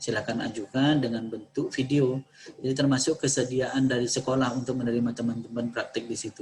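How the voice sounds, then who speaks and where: Noticeable background noise sits behind the speaker. He is a man with a monotone, flat intonation. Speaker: university lecturer briefing students. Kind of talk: briefing Q&A session. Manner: halting with many fillers.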